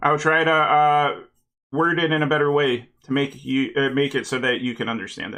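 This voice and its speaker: Speaking at a moderate pace, a man has a normal speaking voice with fairly high pitch. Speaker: streamer building model kits. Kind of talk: casual live stream chat while building.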